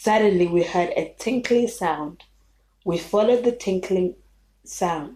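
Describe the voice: Plain reading aloud is heard. Its pitch variation is ordinary.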